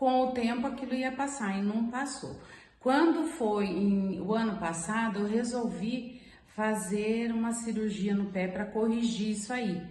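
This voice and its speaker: A woman's fairly high voice at a fairly slow pace, ordinary pitch variation, noticeable background noise and audible room echo. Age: 60s. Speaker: client giving testimony. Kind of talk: testimony.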